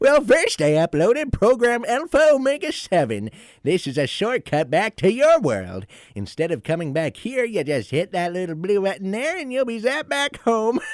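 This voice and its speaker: A man puts on a character voice, pitched high with very wide swings. He keeps a moderate pace. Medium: audio drama. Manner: precise, slightly testy.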